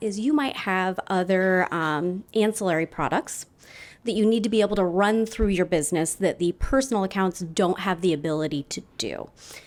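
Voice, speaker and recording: This very clean recording, with a silent background, carries lively intonation at a moderate pace. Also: woman. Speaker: banker. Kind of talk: conference presentation. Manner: loud.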